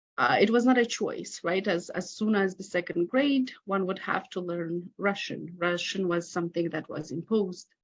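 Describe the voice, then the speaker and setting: A woman with a Romanian accent speaks at a medium pitch with ordinary pitch variation. She keeps a moderate pace with hardly any pauses. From Moldova. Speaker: academic researcher. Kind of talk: conference talk. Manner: reading from a prepared script.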